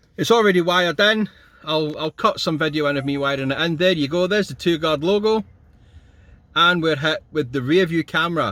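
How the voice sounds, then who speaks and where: With a Scottish accent, a man talks at a fairly quick pace at a high pitch. His tone is bright and sharp, and his pitch variation is ordinary. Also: very clean recording, silent background. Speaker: YouTube product reviewer. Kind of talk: product review tutorial. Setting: outdoors then inside a car. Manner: casual, chatty.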